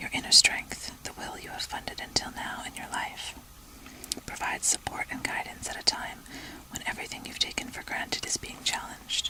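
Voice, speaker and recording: A woman whispers at a fairly quick pace, with big swings in loudness. Noticeable background noise can be heard. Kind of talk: rune reading, relaxation. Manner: whispered, soft.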